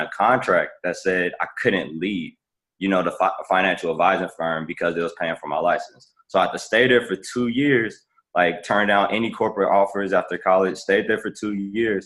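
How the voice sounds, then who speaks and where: Here is a man with an American accent and a normal speaking voice. His pitch is fairly low, his pitch variation ordinary and his pace moderate. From US Midwest, Chicago. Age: 20s. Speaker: entrepreneur and business consultant. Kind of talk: podcast interview, personal story. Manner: casual, many fillers and restarts.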